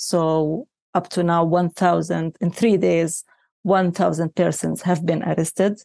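With a Palestinian accent, a woman speaks at a fairly slow pace in a fairly low pitch, her tone dark and mellow and her loudness very even. The recording is very clean, with a silent background and a dry, close sound with no echo. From Palestine. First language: Arabic. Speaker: journalists' union representative. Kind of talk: interview. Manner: halting.

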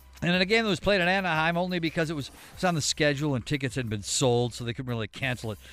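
In a very clean recording with a silent background, a man races along at a very fast pace with hardly any pauses. His fairly high voice has lively intonation and big swings in loudness. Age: 30s. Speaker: sports news update anchor. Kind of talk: news reading.

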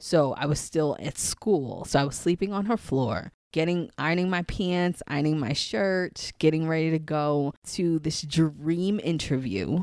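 With an American accent, a woman speaks in a very deep, low voice at a fairly slow pace, with hardly any pauses and ordinary pitch variation. The recording is very clean, with a silent background. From New York City, Queens. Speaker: psychic and spiritual coach. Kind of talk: casual interview conversation.

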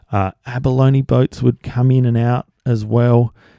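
Recorded very cleanly against a silent background, the voice has a dark, mellow tone and an Australian accent, moves at a fairly slow pace, and sounds dry and close with no echo. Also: man. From South Australia. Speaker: podcast host. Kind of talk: casual monologue. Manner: hesitant with fillers.

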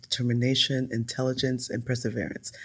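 This is a woman speaking. Her pitch is very deep and low. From raised in Europe, US military family. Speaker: birth worker, doula. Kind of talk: interview conversation. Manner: animated.

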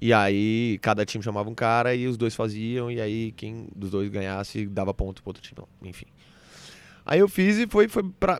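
Lively intonation in a man's medium-pitched voice. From Brazil, Brasília then Recife. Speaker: stand-up comedian. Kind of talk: casual interview chat.

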